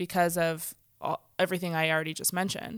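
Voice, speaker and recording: The recording is very clean, with a silent background. In it, a woman talks at a moderate speed and a medium pitch. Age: 30s. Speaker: guest, mom and worker. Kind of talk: casual conversation.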